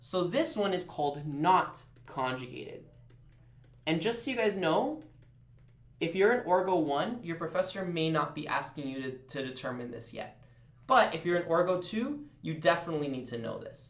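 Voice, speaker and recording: A man's high-pitched, animated voice at a moderate pace, with audible room echo. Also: lively intonation. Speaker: chemistry tutor. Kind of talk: live tutoring session. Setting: live stream.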